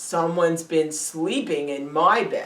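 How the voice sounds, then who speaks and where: A raspy, put-on character voice moves at a fairly slow pace. Its pitch variation is ordinary. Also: woman. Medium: read story.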